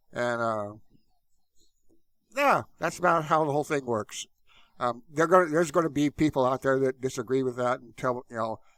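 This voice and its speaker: In a very clean recording with a silent background and a dry, close sound with no echo, a man at medium pitch speaks at a moderate pace with ordinary pitch variation, long, frequent pauses and big swings in loudness. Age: 60s. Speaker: online marketing coach, YouTuber. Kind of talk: casual monologue to camera. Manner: hesitant, many fillers and restarts.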